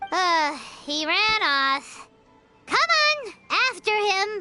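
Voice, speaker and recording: Faint music plays in the background as someone in a put-on character voice speaks at an extremely high pitch and a very slow pace. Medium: video game. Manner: energetic, teasing.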